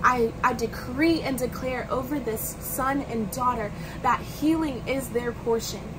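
Over noticeable background noise, a woman with a high pitch speaks fairly slowly in an intense tone, her intonation fairly even. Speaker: evangelist and ministry leader; evangelist. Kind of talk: fervent prayer. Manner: fervent, intense; warm, earnest. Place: home room. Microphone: phone near.

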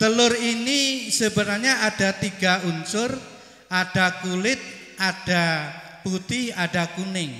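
Over audible room echo, a man with a high pitch speaks in a raised, projected voice at a very slow pace, using ordinary pitch variation. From East Java, Banyuwangi; East Java, Indonesia. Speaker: school principal; preacher. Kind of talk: welcome speech at religious gathering. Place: stage. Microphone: handheld.

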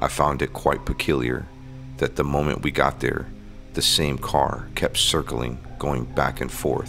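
Clear music plays behind a man whose very deep, low voice stays monotone and flat at a moderate pace. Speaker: paranormal explorer host. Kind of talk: narrative vlog commentary. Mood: hushed, spooky storytelling. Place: open country. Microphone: phone near.

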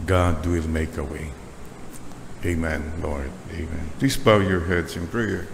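Very deep, low male speech at a fairly slow pace with ordinary pitch variation, against noticeable background noise. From Philippines. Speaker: preacher. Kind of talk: sermon closing in a fervent, litany-style led prayer. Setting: church. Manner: earnest and pleading, rising in devotional intensity; rhythmic, repetitive cadence switching Taglish to English. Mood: calm, devout. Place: church. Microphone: podium.

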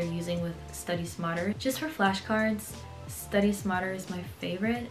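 Clear music sits in the background. A woman talks at a medium pitch over it. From Berlin, Germany. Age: 20s. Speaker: dental student. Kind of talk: casual talk to camera. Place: home room.

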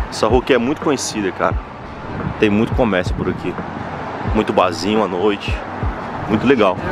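The speech moves at a fairly quick pace. The sound is dry with no echo, and there is noticeable background noise. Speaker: walking tour vlogger. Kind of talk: casual vlog chat. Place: street. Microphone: phone near.

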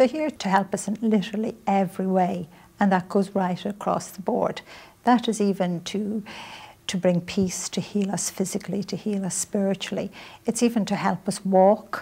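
With a Dublin accent, the voice is dark, mellow and somewhat breathy, moving at a moderate pace with fairly even intonation. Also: woman. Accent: Irish (Dublin). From Ireland, Dublin. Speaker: author and spiritual teacher; spiritual teacher. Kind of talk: interview. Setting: visit to New York. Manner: soft-spoken. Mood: calm, earnest, gentle. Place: studio. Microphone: lapel.

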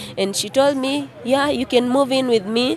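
With a dry sound that has no echo and light background noise, a woman talks at a moderate pace in fairly even intonation. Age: 20s. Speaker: author sharing life story; interviewee. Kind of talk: testimony. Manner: halting. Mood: sad, emotional recollection. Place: street. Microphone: handheld.

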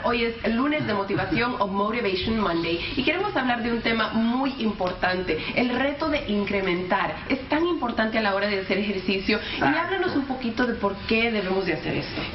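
Here a woman talks at a fairly high pitch and a moderate pace, with hardly any pauses and lively intonation. The room echo is audible, and light background noise sits underneath. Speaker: TV reporter and presenter. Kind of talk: TV interview host. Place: studio.

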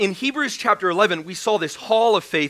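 Against a quiet background, a voice is raised and projected. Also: man. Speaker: preacher. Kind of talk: sermon. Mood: joking, then earnest. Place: church.

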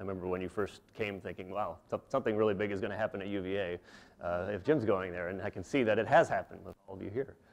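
Over a quiet background, the words come at a very fast pace. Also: man. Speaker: guest lecturer. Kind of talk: lecture. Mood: warm, appreciative. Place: hall.

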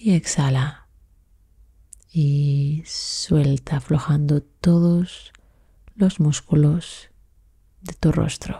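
A woman speaks at a very slow pace with long, frequent pauses, her very deep, low pitch carrying a dark, mellow tone. Her intonation is fairly even, her voice somewhat breathy, and her tone calm and soothing. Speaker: meditation guide. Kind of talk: guided meditation. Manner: slow, soft-spoken, soothing; calm, measured, with long pauses.

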